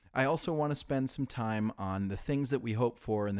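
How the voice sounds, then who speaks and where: A man talks at a moderate pace in a normal speaking voice of medium pitch. The recording is very clean, the background silent. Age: 30s. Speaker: podcast host. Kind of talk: casual monologue. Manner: laughing often.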